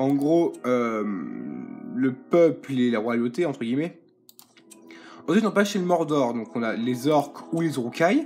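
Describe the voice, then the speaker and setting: A man speaks at a fairly slow pace with a fairly high pitch and lively intonation. Music plays in the background, and his speech has long, frequent pauses. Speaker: gaming youtuber. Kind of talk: gameplay commentary. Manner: hesitant, many fillers.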